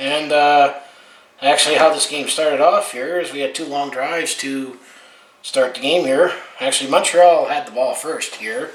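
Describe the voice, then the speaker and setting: Someone with a western Canadian accent speaks at a moderate pace with fairly even intonation, amid noticeable background noise and audible room echo. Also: man, fairly high pitch for a man. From Alberta, western Canada. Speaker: sports fan vlogger. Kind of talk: casual game recap monologue. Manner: casual, with frequent fillers.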